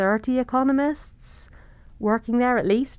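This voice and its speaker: Against a quiet background, a woman with a southern British accent speaks at a moderate pace. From southern England. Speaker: economics professor. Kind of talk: interview conversation.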